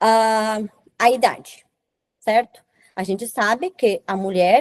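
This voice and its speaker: Her fairly high voice, with ordinary pitch variation, moves along at a very slow pace. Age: 30s. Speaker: reproductive science lecturer. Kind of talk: lecture. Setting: webinar.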